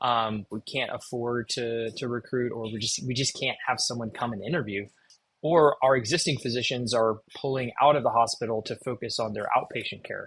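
A man with an American accent speaks in a normal speaking voice at a medium pitch. His pace is fairly quick and his intonation fairly even. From Texas. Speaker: cardiologist and telemedicine executive. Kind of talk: interview.

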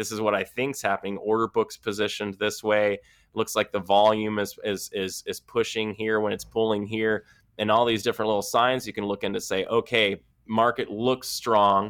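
A man with a fairly low voice talks at a moderate pace in a flat monotone, recorded dry and close with no echo in a very clean take with a silent background. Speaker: trading podcast co-host, former IT worker. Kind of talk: casual chat. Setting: hotel room.

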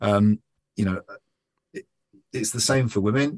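The sound is dry and close with no echo as a man speaks at a fairly low pitch. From London. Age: 50s. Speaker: entrepreneur. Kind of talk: podcast interview.

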